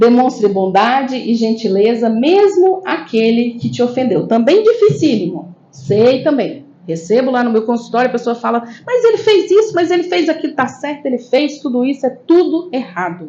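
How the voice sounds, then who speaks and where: A woman with a northeastern Brazilian accent speaks at a moderate pace in a high voice, her pitch swinging very widely, with hardly any pauses. Noticeable background noise runs underneath. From Brasília, Brazil, northeastern family. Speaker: spiritist lecturer and therapist. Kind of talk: spiritist lecture. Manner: conversational, frequent tag questions.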